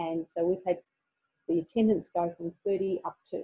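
This woman speaks at a fairly low pitch with an Australian accent. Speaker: teacher. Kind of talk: webinar presentation. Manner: halting.

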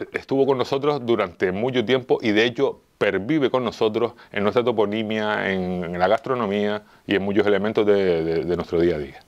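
Against a quiet background, a man with a fairly low pitch and ordinary pitch variation speaks at a moderate pace with hardly any pauses. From Canary Islands, Las Palmas. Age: 50s. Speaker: amateur historian and local police officer. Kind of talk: interview. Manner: halting, many fillers and repetitions.

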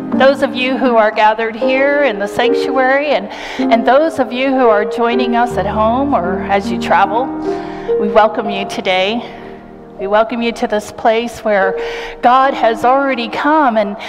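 A woman at a fairly slow pace with ordinary pitch variation, clear music in the background. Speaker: senior pastor. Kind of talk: worship welcome and announcements. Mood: warm, welcoming. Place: church.

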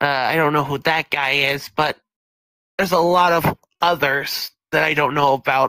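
Delivered at a moderate pace, this put-on character voice is raspy and sits at a low-to-middle pitch. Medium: actual play.

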